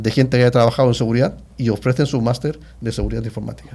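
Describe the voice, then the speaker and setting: Very fast speech from a man at medium pitch, with fairly even intonation and a dark, mellow tone. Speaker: cryptography professor. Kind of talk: interview.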